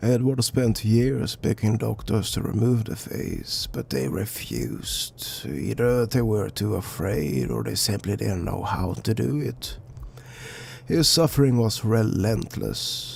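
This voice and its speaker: A man at a fairly slow pace over clear background noise. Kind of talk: dark legend narration. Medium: read story. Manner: conversational, somber.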